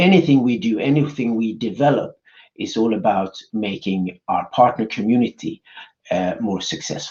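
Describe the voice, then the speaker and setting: Medium in pitch, a man with a Swedish accent talks at a moderate pace with lively intonation. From Sweden. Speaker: business executive. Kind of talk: conference presentation. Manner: halting, many fillers.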